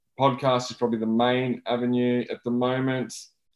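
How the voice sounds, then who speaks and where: A man with an Australian accent. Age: 30s. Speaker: debut author. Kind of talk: interview.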